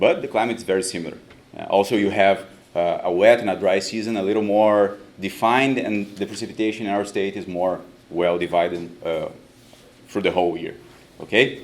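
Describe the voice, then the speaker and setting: A man's fairly quick, fairly even speech with a Brazilian Portuguese accent and audible room echo. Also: fairly low pitch for a man. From southern Brazil, Rio Grande do Sul. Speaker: professor. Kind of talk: conference talk. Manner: halting.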